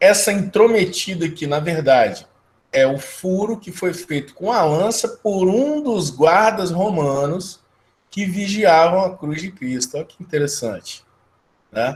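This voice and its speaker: High pitch from a man, with lively intonation, big swings in loudness, and a fairly slow pace. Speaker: geography teacher. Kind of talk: lecture. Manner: casual conversational.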